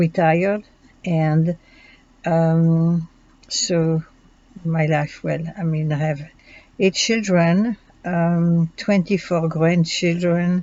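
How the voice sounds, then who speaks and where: Long, frequent pauses from a woman with a French accent and fairly low pitch. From Belgium. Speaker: student. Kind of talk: self-introduction. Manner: halting, many fillers.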